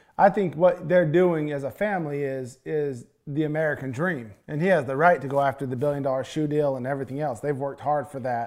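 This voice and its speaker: A man speaks in a normal speaking voice, fairly high in pitch. His pitch varies in an ordinary way. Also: fairly quick pace. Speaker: occasional podcast co-host, entrepreneur. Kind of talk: casual chat.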